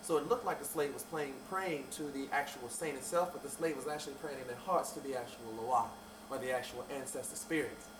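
With noticeable background noise and audible room echo, a man speaks fairly quickly in a fairly high pitch, his pitch varying in an ordinary way. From Louisiana, Bayou Sarah. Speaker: voodoo priest. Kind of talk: interview. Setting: shop. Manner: animated.

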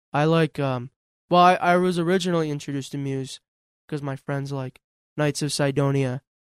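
This man has an unremarkable speaking voice, fairly high in pitch, at a moderate pace. His intonation is fairly even, and the sound is dry and close with no echo. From Western New York, North Tonawanda area. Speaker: local theater actor. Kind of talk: casual chat.

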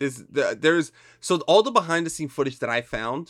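A man with a Spanish accent. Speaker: podcast co-host. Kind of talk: casual chat.

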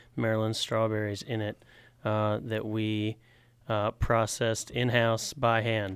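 Over a silent background in a very clean recording, a man talks at medium pitch and a fairly slow pace. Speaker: assistant brewer and delivery driver. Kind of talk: casual chat. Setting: studio.

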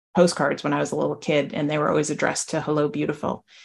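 An American accent over a quiet background. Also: woman. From New Jersey. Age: 50s. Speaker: novelist. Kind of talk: interview.

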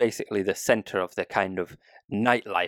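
Recorded very cleanly against a silent background, with a dry, close sound and no echo, a man with a British accent talks at a fairly quick pace. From UK. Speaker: news podcast co-host. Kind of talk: casual news discussion.

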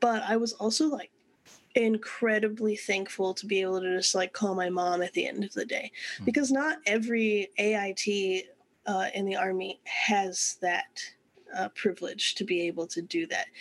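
This is a normal speaking voice: a woman at medium pitch with an American accent, moderate pace and ordinary pitch variation. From Texas. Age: 20s. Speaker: army musician. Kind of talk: casual chat. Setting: video call.

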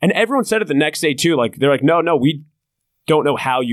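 A man's medium-pitched voice with vocal fry, very wide pitch swings and an American accent. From New Jersey shore. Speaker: comedian and comedy show producer. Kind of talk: casual chat.

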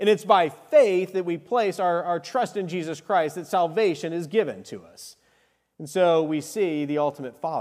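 A man with an American accent speaks in a high voice with ordinary pitch variation. His loudness swings widely. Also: moderate pace. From Arizona. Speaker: lay preacher. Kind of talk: sermon. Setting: church.

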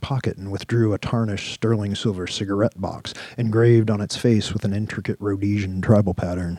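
Text is read out loud in a natural voice. Its intonation remains fairly even.

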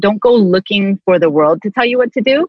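A plain, everyday voice from a woman, medium in pitch with lively intonation. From Canada. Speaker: speaker and ministry leader. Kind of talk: casual interview.

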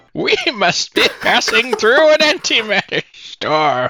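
This put-on character voice moves at a fairly slow pace and swings very widely in pitch. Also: man, extremely high pitch for a man. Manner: shaky.

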